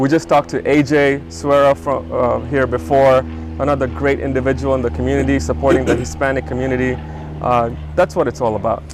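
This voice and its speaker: Music plays in the background. Over it, a man speaks with very wide pitch swings. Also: medium pitch for a man, fairly quick pace. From Tanzania (Dar es Salaam), moved to US at 16. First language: Swahili. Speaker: business co-founder and show host. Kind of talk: casual interview chat. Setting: outdoors in a backyard.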